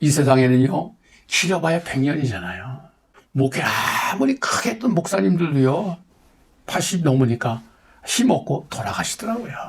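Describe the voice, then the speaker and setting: A man's pitch is fairly high, and he keeps a moderate pace. His voice swings very widely up and down. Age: 70s. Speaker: pastor. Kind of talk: testimony. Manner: earnest, exhortative.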